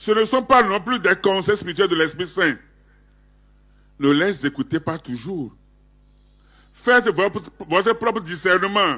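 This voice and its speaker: A man with a high pitch and a bright, sharp tone projects a raised voice with lively intonation, speaking at a fairly slow pace with long, frequent pauses against a quiet background. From Togo. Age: 70s. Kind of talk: public statement. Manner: formal.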